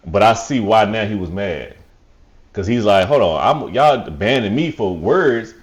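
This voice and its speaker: With audible room echo around him, a man speaks at a moderate pace in a fairly low pitch and lively intonation. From Nashville, Tennessee. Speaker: podcast guest. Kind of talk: casual chat.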